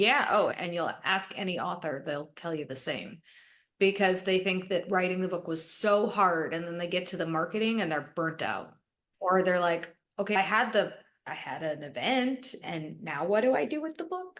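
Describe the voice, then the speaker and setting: A woman with a Canadian accent uses an ordinary speaking voice at medium pitch, with ordinary pitch variation. She talks at a moderate pace against a quiet background. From Canada, Toronto. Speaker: book marketing strategist. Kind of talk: podcast interview.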